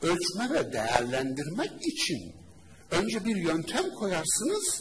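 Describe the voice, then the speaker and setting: A man speaks at a very slow pace in a high pitch with very wide pitch swings. Noticeable background noise and audible room echo are present. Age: 40s. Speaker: Islamic preacher and teacher. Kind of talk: religious lecture. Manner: animated.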